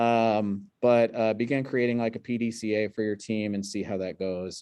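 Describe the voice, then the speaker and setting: Medium-pitched male voice at a moderate pace, dark and mellow in tone, with monotone, flat intonation and a quiet background. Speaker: hospital sepsis quality presenter. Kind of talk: q&a discussion; webinar presentation. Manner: many fillers.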